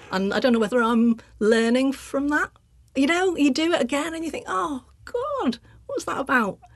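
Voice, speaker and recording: Her intonation is lively and her pitch is high. A woman speaks over noticeable background noise. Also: moderate pace. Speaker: artist and sculptor. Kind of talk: casual interview chat.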